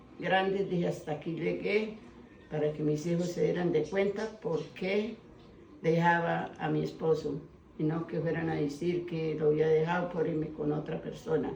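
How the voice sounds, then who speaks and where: There is audible room echo and noticeable background noise as a woman speaks. Her pitch is fairly low, her pace fairly slow, and her intonation fairly even. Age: 70s. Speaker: elderly village woman, fique spinner. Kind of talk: life story interview. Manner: halting.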